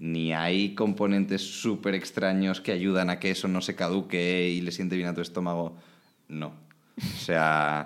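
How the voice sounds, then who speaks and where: A man's very deep, low voice, fairly slow in pace, with monotone, flat intonation. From Spain, Alicante (Valencian region). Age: 20s. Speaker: start-up operations manager, industrial designer. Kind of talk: casual chat.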